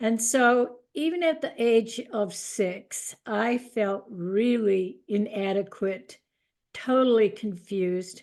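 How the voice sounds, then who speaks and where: A woman at a fairly high pitch, speaking at a very slow pace. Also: ordinary pitch variation. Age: 80s+. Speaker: author sharing testimony. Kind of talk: testimony. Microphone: good audio.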